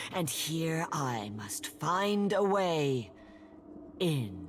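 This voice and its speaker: Putting on a character voice, a woman speaks very deep and low at a very slow pace with very wide pitch swings, over clear background noise. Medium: video game. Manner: halting, simple, dreamlike phrasing.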